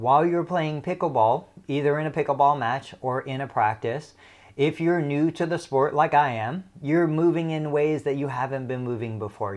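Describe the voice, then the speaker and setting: Against a quiet background, a man with an ordinary speaking voice talks at a fairly high pitch with ordinary pitch variation. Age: 40s. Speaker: physical therapist. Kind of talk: educational talk.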